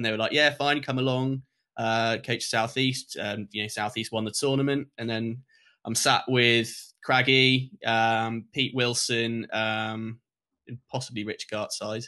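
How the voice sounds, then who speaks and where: Against a quiet background, a man with a bright, sharp tone speaks at a medium pitch and a fairly slow pace in a monotone, flat intonation. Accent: English. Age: 20s. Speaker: lacrosse coach. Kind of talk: casual chat.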